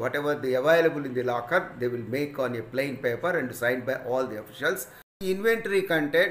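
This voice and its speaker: A man talks at a very fast pace. Light background noise and audible room echo are present. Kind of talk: lecture. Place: home room. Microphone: phone near.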